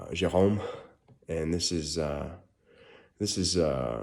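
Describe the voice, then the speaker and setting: A man's dark, mellow tone at a very slow pace. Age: 30s. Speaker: perfume reviewer. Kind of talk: product review. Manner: halting, many fillers; casual.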